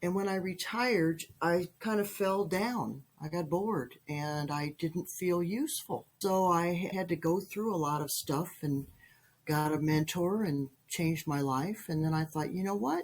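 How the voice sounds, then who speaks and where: A plain, everyday voice, speaking at a fairly slow pace. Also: woman, fairly low pitch for a woman, ordinary pitch variation. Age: 60s. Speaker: mindset coach and retired teacher. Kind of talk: podcast interview.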